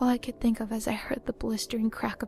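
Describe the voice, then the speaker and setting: A woman's fairly high, flat monotone voice over background music. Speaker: narrator reading a story. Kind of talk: creepypasta horror story narration.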